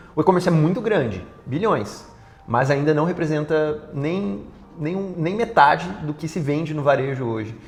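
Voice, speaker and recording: Noticeable background noise sits behind a man who talks at a moderate pace, his fairly high voice full of lively intonation. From interior of Paraná, Brazil. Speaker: startup CEO. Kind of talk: TV interview.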